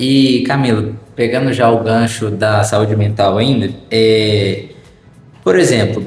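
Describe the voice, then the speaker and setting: Speaking very slowly with a rural Brazilian accent, a man keeps a medium pitch, fairly even intonation and very even loudness, with music in the background and audible room echo. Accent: rural countryside Brazilian. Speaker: podcast host. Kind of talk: casual chat.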